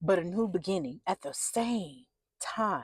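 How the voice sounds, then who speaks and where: A loud, animated woman's voice with very wide pitch swings comes through dry and close with no echo. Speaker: spiritual content creator. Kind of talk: inspirational spiritual message.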